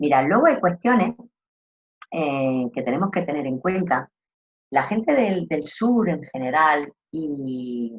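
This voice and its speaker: The speaker talks at a very slow pace in an Andalusian accent. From Andalusia, southern Spain. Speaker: trainer in rural tourism customer service. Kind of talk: online course lecture. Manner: animated.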